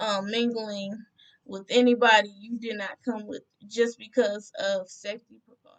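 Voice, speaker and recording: A woman's fairly high-pitched, monotone, flat delivery with big swings in loudness. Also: moderate pace. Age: 20s. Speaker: travel vlogger. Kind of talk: tutorial.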